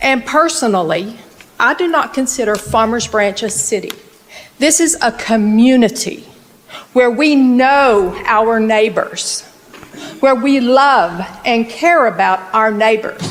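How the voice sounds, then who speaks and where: A woman's very slow, lively-intoned speech amid noticeable background noise and audible room echo. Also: fairly high pitch for a woman. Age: 60s. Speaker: local resident speaking at council meeting. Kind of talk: public comment at city council meeting. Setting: city council meeting. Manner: emphatic.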